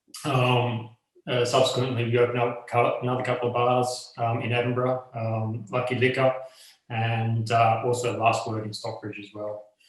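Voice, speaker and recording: Speaking at a moderate pace with an Australian accent, a man at medium pitch keeps his intonation fairly even while his loudness swings widely, with audible room echo around him. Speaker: bar owner and rum brand co-owner. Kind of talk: interview. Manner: halting, many fillers.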